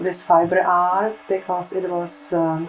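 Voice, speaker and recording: Against music in the background and audible room echo, a woman speaks with a Czech accent at medium pitch. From Czechoslovakia. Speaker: textile artist. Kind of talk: interview. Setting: artist's home studio. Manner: halting, many fillers.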